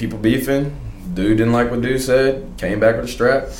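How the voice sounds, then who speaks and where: Fairly quick, fairly even speech from a man at a medium pitch, with noticeable background noise. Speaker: college student and soccer player. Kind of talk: casual chat. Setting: studio.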